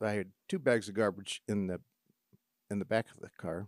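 The sound is dry and close with no echo as a man speaks in a fairly low pitch. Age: 50s. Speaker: podcast host living with a degenerative disease. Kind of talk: casual monologue of personal stories.

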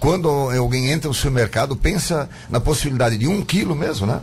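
Here a man talks in a medium pitch. His voice is somewhat breathy. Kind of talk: radio interview.

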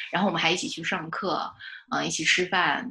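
At a fairly quick pace, a woman with a medium pitch talks in an unremarkable speaking voice. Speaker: fiction writer. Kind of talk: casual interview chat.

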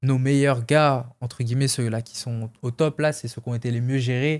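In a very clean recording with a silent background, a man talks at a moderate pace and a medium pitch with monotone, flat intonation. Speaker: MMA fighter. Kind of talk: casual interview.

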